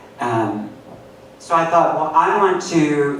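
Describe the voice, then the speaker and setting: A man talks with lively intonation while audible room echo and noticeable background noise fill the recording. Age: 50s. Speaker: poet. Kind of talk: poetry reading. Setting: stage with audience.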